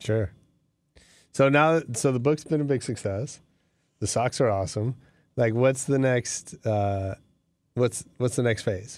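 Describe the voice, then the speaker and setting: A man speaks at medium pitch and a fairly slow pace, with ordinary pitch variation. Long, frequent pauses break up his speech in a very clean recording with a silent background. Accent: American. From US West Coast (San Francisco). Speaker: podcast host. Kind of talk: casual interview. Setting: studio.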